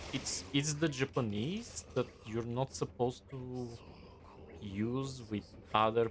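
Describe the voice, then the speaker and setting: A somewhat breathy man speaks at a fairly slow pace with ordinary pitch variation. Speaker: game streamer. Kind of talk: casual live-stream chat.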